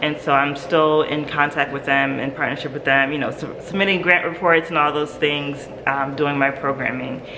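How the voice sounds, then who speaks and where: Noticeable background noise and audible room echo around a woman's very deep, low voice, delivered at a moderate pace. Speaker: nonprofit founder. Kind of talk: interview. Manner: casual, hesitant with fillers.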